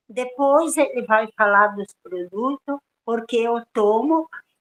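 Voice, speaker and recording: A woman speaks at a very slow pace in a high voice with ordinary pitch variation. The sound is dry and close, with no echo. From Rio Grande do Sul, Brazil. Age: 70s. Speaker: testimony guest, product user. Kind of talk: testimony.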